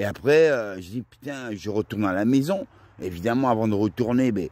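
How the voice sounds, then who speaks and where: On a very clean recording with a silent background, a man with a fairly low pitch speaks at a moderate pace with lively intonation. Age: 50s. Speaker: vlogger. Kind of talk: monologue vlog. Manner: halting.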